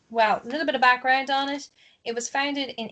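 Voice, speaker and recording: A woman speaks with an Ulster accent. The background is quiet. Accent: Ulster Irish. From Ulster, Ireland. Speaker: podcast host. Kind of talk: casual chat.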